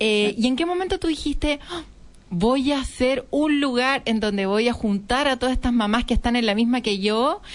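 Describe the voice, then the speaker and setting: A woman talks in an ordinary speaking voice with a fairly high pitch. Her pace is moderate and her pitch variation ordinary. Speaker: radio host, entrepreneur. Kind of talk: radio interview.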